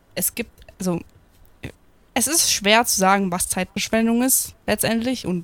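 Here a woman talks in a plain, everyday voice at a fairly slow pace, using ordinary pitch variation. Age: 20s. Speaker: podcast host. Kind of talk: casual chat.

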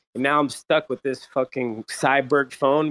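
In a normal speaking voice, the speaker talks at a fairly quick pace with fairly even intonation, in a dry, close sound with no echo. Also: man. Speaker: crypto community member. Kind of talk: casual chat. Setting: online audio space.

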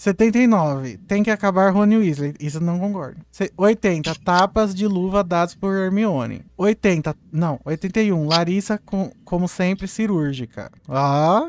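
With hardly any pauses yet at a very slow pace, a man with a high voice speaks with ordinary pitch variation in a dry, close sound with no echo. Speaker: podcast host and editor. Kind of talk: casual chat on a live stream. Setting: live stream on video.

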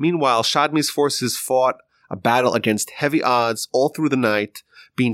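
Recorded dry and close with no echo, a man with an unremarkable speaking voice talks at a moderate pace and medium pitch. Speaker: history podcast narrator. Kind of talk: history documentary narration. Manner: measured, explanatory.

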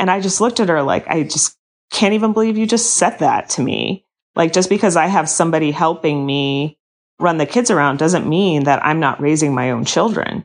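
At a fairly quick pace, a woman with a fairly low pitch and lively intonation speaks in an ordinary speaking voice over a quiet background. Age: 40s. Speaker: orthodontist. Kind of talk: interview.

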